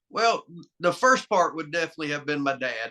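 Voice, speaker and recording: With a Southern US accent, a man speaks at a fairly high pitch in a bright, sharp tone, the sound dry and close with no echo. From US South, North Carolina. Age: 50s. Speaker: arm wrestler. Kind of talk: interview.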